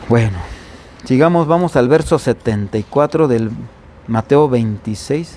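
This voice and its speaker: The delivery is animated, with lively intonation and very even loudness at a fairly slow pace broken by long, frequent pauses. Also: man, medium pitch for a man. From Mexico, Veracruz coast. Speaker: pastor. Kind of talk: sermon. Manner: animated, conversational.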